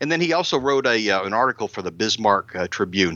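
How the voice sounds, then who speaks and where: A man speaks at a fairly quick pace in a bright, sharp tone. The sound is dry and close with no echo, over a quiet background. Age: 60s. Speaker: podcast co-host. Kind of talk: casual chat.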